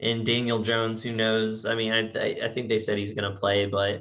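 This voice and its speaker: Speaking with a slight Virginia accent, a man uses a fairly low pitch. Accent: slight Virginia twang. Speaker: sports podcast host. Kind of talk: casual chat.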